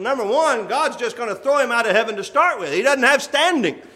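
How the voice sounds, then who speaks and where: Amid audible room echo, a man uses a raised, projected voice with lively intonation. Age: 40s. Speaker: church elder preaching. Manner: earnest, conversational preaching with rhetorical questions and occasional laughs; hesitant fillers (uh) between emphatic declarations.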